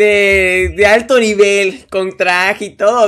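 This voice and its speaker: A man speaks in a high voice. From Mexico, Yucatán. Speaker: youtuber podcast host. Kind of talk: casual chat.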